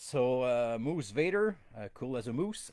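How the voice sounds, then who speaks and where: A man speaks with a Quebec accent. His pitch swings very widely. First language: French. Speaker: toy collecting podcast host. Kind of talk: casual bilingual live-stream chat. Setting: live stream on camera. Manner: halting, many fillers.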